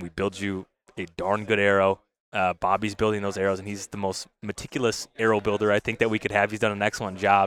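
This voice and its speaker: A man's fairly low voice at a very fast pace, monotone and flat, on a very clean recording with a silent background. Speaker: product company representative. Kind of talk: casual interview chat. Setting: trade show interview.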